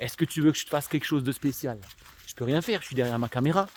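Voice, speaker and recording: Speaking very fast at a medium pitch, a man shows ordinary pitch variation amid noticeable background noise. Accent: slight Alsatian. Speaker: youtuber, social work commentator. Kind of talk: casual vlog monologue. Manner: casual, hesitant with many fillers.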